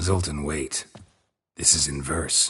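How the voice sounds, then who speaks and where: A man puts on a raspy character voice, very deep and low, delivered in a deadpan tone. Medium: video game. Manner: terse, deadpan.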